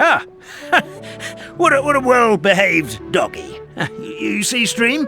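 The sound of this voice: Putting on a character voice over faint music in the background, a man speaks at a slow pace with an extremely high pitch, big pitch swings, a bright, sharp tone and vocal fry.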